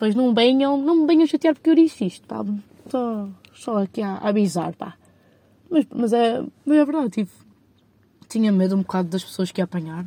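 A dark, mellow, somewhat breathy voice at a fairly quick pace, with very wide pitch swings, long, frequent pauses and a dry, close sound with no echo. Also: woman, fairly high pitch for a woman. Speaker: podcaster. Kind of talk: casual solo monologue. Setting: in a parked car.

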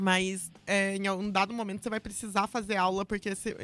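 She speaks at moderate speed and medium pitch, her intonation monotone and flat. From São Paulo state countryside, Brazil. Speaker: metal vocalist and music business professional. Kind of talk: casual chat.

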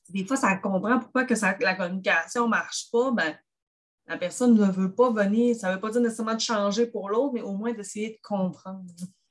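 Somewhat breathy, this voice shows ordinary pitch variation. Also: woman, fairly high pitch for a woman. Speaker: grief counsellor and therapist. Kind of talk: casual chat.

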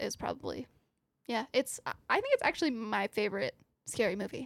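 A woman with an American accent, her fairly high voice edged with vocal fry. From US South. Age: 20s.

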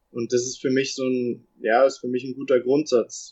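A man speaks at a fairly slow pace, his pitch at a medium level. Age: young. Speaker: professional footballer. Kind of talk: interview. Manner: halting.

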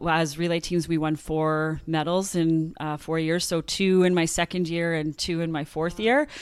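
A woman with a Canadian prairie accent speaks at a moderate pace in a fairly low voice, recorded very cleanly against a silent background. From rural Saskatchewan and Manitoba, Canada. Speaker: former track athlete and coach, wellness consultant. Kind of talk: interview storytelling.

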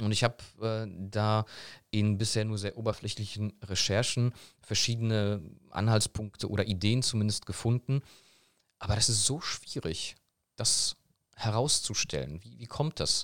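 A man speaks at a moderate pace in a fairly low voice with ordinary pitch variation, big swings in loudness, and long, frequent pauses. The recording is very clean, dry and close, with a silent background and no echo. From Germany (born in Poland, moved at about four). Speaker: German teacher. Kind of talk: interview.

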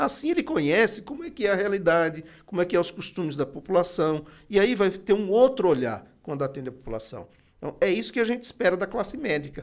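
Very fast speech with very wide pitch swings. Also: man, high pitch for a man. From Bahia, Brazilian Northeast. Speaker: city councillor. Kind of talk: podcast interview. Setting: studio with cameras.

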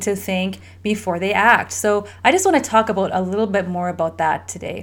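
An animated tone at a moderate pace. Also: woman. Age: 40s. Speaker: family health coach and podcast host. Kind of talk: solo podcast talk. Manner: animated, frequent laughing.

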